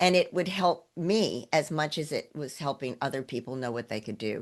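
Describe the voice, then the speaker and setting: Against a quiet background, a woman speaks with a very deep, low pitch. Her intonation is lively. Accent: American. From US South, Knoxville, Tennessee. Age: 70s. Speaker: actress and ninja athlete. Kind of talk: interview conversation.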